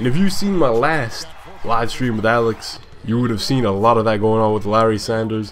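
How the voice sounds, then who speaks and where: Noticeable background noise sits behind a man speaking at a fairly quick pace in a medium pitch. His tone is animated, with ordinary pitch variation. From born in Scotland, raised partly in Africa, then Scotland. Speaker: gaming YouTuber. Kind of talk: gameplay commentary with casual chat. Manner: casual, animated; moderate pace, careful pronunciation.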